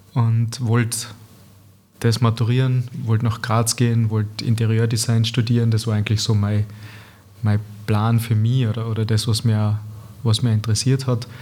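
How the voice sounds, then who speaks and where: In a Tyrolean accent, a man speaks at a moderate pace and medium pitch with a dark, mellow tone, a somewhat breathy voice, very even loudness, monotone, flat intonation and long, frequent pauses. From East Tyrol, Austria (Lienz area). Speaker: painter, former pro footballer. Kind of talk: casual interview chat. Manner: halting, many repetitions and fillers.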